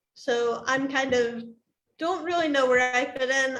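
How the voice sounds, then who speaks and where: A woman with a high-pitched voice speaks at a moderate pace, and audible room echo surrounds her. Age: 20s. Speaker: deaf cochlear implant user. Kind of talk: panel discussion. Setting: livestream.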